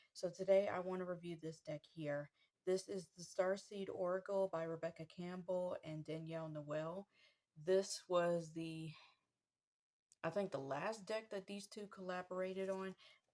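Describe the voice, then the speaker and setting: A soft-spoken woman has a dark, mellow tone. Her intonation stays fairly even. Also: medium pitch for a woman, moderate pace. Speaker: tarot deck reviewer. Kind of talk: casual product review. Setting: at home.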